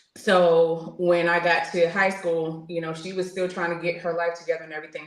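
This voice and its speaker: Here a woman with a fairly low pitch speaks fairly quickly in an American accent. Her intonation is monotone and flat, and the room echo is audible. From New York (Queens). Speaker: military veteran. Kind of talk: interview testimony. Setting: podcast interview.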